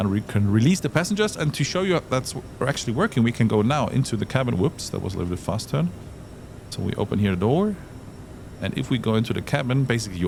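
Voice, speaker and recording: With a German accent, a man talks at a very fast pace, his pitch swinging very widely. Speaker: flight sim tutorial presenter. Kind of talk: tutorial. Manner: casual, hesitant with fillers.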